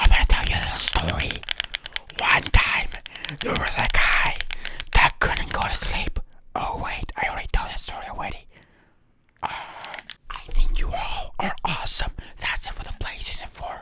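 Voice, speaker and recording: Whispering with big swings in loudness and long, frequent pauses. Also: man, moderate pace. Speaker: ASMR hobby creator. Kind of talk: ASMR whisper video. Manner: whispered. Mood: playful, joking. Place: home room. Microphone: studio mic.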